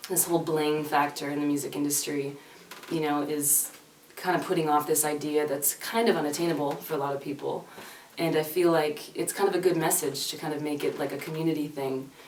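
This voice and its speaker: Amid noticeable background noise and audible room echo, the speaker talks at a fairly quick pace in a monotone, flat intonation with a slight Canadian accent. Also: woman. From Canada. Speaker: singer-songwriter. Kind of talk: casual interview chat. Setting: reverberant music room. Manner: hesitant, many fillers.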